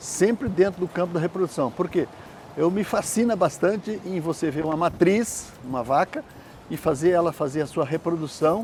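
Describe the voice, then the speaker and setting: Lively intonation marks a man's high-pitched voice, delivered at a moderate pace. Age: 70s. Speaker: veterinarian. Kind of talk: interview.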